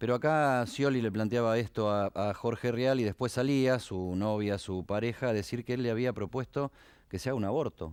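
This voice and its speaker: In a very clean recording with a silent background, a man speaks with an Argentine accent. His pitch is medium and his pace fairly quick. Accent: Argentine Spanish (Rioplatense). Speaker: TV political talk show host and journalist. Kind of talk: TV political discussion.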